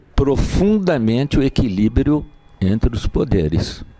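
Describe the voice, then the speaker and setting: The sound is dry and close with no echo, though background noise is noticeable. A man speaks slowly-ish, at a fairly slow pace, with lively intonation. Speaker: lawyer. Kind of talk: lecture. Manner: soft-spoken; formal. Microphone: mic not helping, too quiet.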